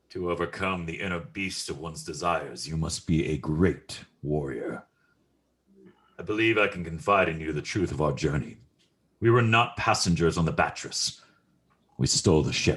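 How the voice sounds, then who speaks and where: Putting on a character voice with a very deep, low pitch, a man speaks at a moderate pace with long, frequent pauses. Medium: audio drama. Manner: cold, measured.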